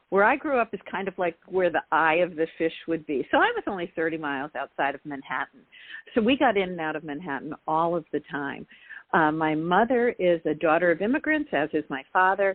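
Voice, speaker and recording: A plain, everyday voice with an American accent, fairly quick and with lively intonation. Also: woman, fairly low pitch for a woman. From US Northeast, Long Island, New York. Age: 60s. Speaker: author. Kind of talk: interview. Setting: talk radio show.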